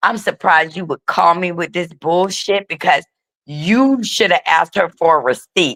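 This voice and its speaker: Speaking at a moderate pace with an animated tone, a woman at medium pitch is heard in a dry, close sound with no echo. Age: 60s. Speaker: YouTube content creator. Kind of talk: casual panel chat.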